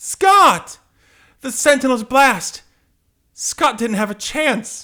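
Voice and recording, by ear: On a very clean recording with a silent background, a man does a put-on character voice, extremely high and slow, with lively intonation and a bright, sharp tone.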